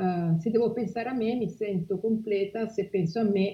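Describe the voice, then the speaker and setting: A woman speaks in an ordinary speaking voice. Her pace is moderate and her intonation fairly even. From Liguria, Italy (Genoa area). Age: 40s. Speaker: humanitarian spokesperson. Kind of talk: interview.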